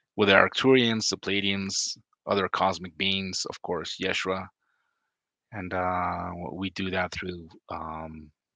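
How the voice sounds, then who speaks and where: A man's very deep, low voice with a Spanish accent, bright and sharp in tone, fairly even in intonation, and dry and close with no echo. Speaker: oracle card reader and spiritual healer. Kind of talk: casual vlog talk to camera. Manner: hesitant, many fillers.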